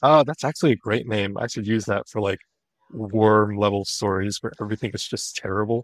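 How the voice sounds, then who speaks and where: A man has a normal speaking voice with fairly low pitch. He talks at a fairly quick pace with ordinary pitch variation. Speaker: novelist. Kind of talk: casual chat.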